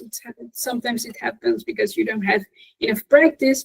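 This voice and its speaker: A woman speaks at a high pitch. Her pitch varies in an ordinary way. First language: Spanish. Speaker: English teacher, conference speaker. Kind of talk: Q&A after a conference talk.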